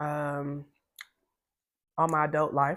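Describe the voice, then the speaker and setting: This woman's voice sits at a very deep, low pitch. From US South, Greenville, South Carolina. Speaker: content creator, Navy veteran. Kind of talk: casual get-to-know-me vlog while eating. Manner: rambling, easily sidetracked.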